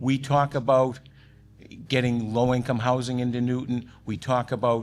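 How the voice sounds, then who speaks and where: A man with an American accent speaks at medium pitch and a moderate pace, in an unremarkable speaking voice. The recording is very clean with a silent background. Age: 60s. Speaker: mayoral candidate. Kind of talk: political debate. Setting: stage with audience.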